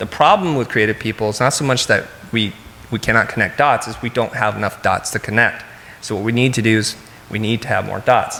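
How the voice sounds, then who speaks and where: Noticeable background noise surrounds a man speaking at medium pitch and a fairly quick pace with ordinary pitch variation. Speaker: keynote speaker, design company CEO and educator. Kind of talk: conference keynote talk. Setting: stage with audience. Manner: fast.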